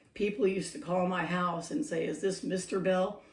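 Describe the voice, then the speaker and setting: Audible room echo surrounds a woman's voice. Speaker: former caregiver for older adults. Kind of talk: casual vlog monologue. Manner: hesitant with many fillers.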